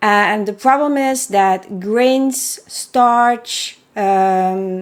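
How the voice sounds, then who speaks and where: With a Belgian accent, a woman speaks with ordinary pitch variation on a very clean recording with a silent background. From Belgium. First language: not English. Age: 40s. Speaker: horse welfare advocate and author. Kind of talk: unscripted solo podcast monologue. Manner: hesitant, many fillers.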